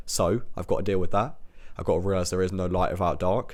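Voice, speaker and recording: A robotic, very deep male voice in a British accent, monotone with flat intonation, at a very fast pace. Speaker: self-improvement podcaster. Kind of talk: motivational monologue. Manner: sounds robotic.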